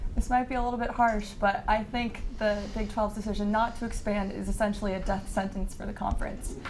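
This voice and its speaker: Over noticeable background noise, a woman talks at a fairly quick pace in a fairly high, monotone voice, hardly pausing at all. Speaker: sports panelist. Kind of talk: panel discussion.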